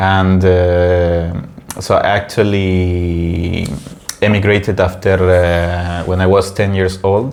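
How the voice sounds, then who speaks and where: A man with a Spanish accent speaks very slowly in a very deep, low voice, monotone and flat, at very even loudness. Noticeable background noise and audible room echo surround him. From Peru, then Italy from age ten. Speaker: podcast host. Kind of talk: casual chat. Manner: halting, many fillers.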